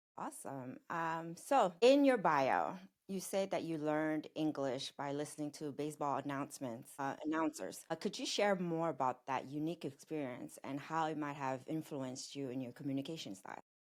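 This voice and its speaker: With a French accent, the speaker keeps a moderate pace, ordinary pitch variation and hardly any pauses. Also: woman, very deep, low pitch for a woman. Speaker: podcast host. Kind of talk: interview.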